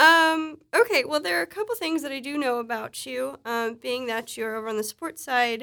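A woman's high voice, bright and sharp in tone, with lively intonation at a moderate pace. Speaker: company podcast host. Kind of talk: casual interview. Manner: playful.

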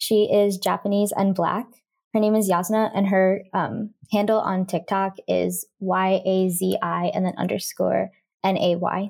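A woman with an American accent at a fairly slow pace, loudness very even, on a very clean recording against a silent background. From Indiana, US Midwest. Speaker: transracial adoptee advocate. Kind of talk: interview conversation.

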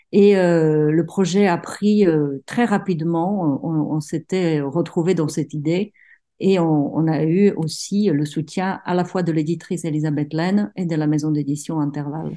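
The speaker talks at a fairly slow pace with a Czech accent and ordinary pitch variation. The background is quiet. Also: woman, fairly low pitch for a woman. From Czech Republic, provincial town. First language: Czech (speaking French). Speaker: writer. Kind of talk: interview. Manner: halting, many repetitions.

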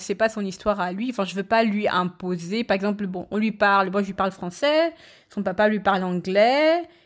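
A woman speaks in a normal speaking voice at a medium pitch and a moderate pace. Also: very clean recording, silent background. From Cameroon, Yaoundé. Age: 30s. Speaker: podcast guest. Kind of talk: casual chat.

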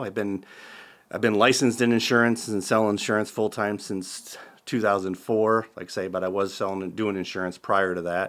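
Here is a normal speaking voice at a moderate pace. The intonation is fairly even. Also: man. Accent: American. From US Midwest (Southwest Iowa). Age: 50s. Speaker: real estate and insurance agent. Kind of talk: interview. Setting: studio.

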